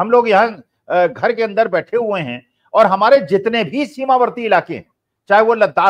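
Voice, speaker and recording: Over a quiet background, a man with a high pitch speaks at a fairly slow pace, showing ordinary pitch variation and big swings in loudness. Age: 70s. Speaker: political commentator. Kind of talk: political discussion. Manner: animated. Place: home room. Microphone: earbuds.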